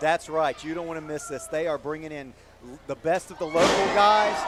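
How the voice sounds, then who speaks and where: There is noticeable background noise. A man speaks at a fairly high pitch with ordinary pitch variation. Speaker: wrestling commentator. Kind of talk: live pro wrestling commentary.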